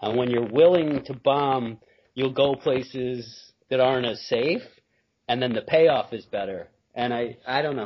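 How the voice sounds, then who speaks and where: A man speaks in an ordinary speaking voice with an American accent, at a medium pitch. His intonation is fairly even and his pace fairly slow. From Binghamton, upstate New York. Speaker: stand-up comedian. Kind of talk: casual chat. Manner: laid-back, self-deprecating, joking.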